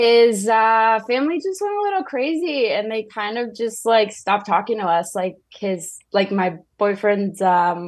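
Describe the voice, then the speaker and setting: In a quiet background, a woman speaks at a fairly slow pace with a fairly high pitch. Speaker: caller. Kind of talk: casual chat. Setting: phone call. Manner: halting.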